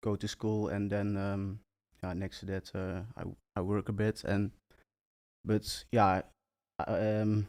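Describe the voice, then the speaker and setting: A man with a Dutch accent speaks in a fairly low, flat monotone at a fairly slow pace, with long, frequent pauses, on a very clean recording with a silent background. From Netherlands. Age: 20s. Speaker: entrepreneur. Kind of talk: interview. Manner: halting.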